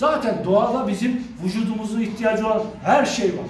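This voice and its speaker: A man's high voice at a moderate pace, with audible room echo and light background noise. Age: 40s. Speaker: fitness coach. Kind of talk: tutorial. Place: gym. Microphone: phone near.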